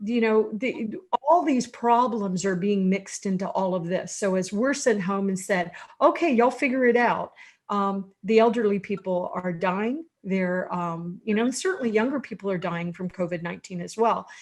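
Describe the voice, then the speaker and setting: Over a quiet background, a woman with a plain, everyday voice talks at a moderate pace, with medium pitch and lively intonation. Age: 60s. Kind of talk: online panel discussion.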